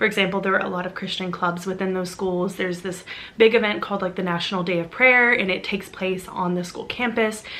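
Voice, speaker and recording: Over noticeable background noise, a woman talks at a very fast pace with fairly even intonation. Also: medium pitch for a woman. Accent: American. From US South, Arkansas. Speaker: witchcraft content creator. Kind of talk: personal storytelling vlog.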